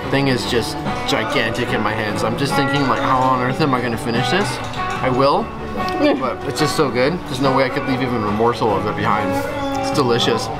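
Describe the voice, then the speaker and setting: Delivered at a fairly quick pace with ordinary pitch variation, the speech sits over loud background music. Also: man. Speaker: food vlogger. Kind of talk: casual vlog chat. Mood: enthusiastic, pleased. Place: bar. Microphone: camera far.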